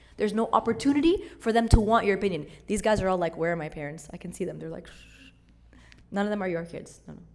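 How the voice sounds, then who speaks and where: A woman at medium pitch, very fast and animated in tone, with lively intonation, long, frequent pauses, big swings in loudness and audible room echo. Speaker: church youth speaker. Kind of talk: talk to church servants.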